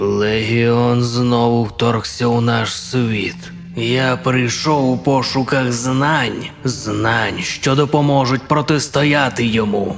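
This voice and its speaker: A man's put-on character voice at a very slow pace, with clear music in the background. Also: medium pitch for a man. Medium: fan dub.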